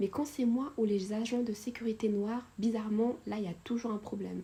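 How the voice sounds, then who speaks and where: Somewhat breathy and dark, mellow in tone, a woman's fairly high voice moves at a moderate pace with ordinary pitch variation. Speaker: YouTuber storyteller. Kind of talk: storytime narration of a subscriber's story. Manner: casual, many hesitations and fillers.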